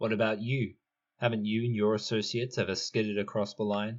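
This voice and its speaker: A man's gruff, put-on character voice at a medium pitch, monotone and flat in intonation, with very even loudness at a fairly quick pace. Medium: read story. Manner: gruff, curt.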